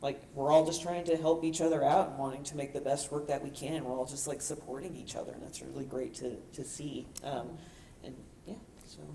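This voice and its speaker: A woman with a very deep, low pitch speaks at a fairly quick pace with fairly even intonation and big swings in loudness. Noticeable background noise and audible room echo surround her. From New York. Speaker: artist. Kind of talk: panel discussion.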